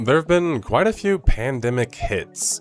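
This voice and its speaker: Music plays in the background as a man speaks. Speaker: gaming video essayist. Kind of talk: video essay narration.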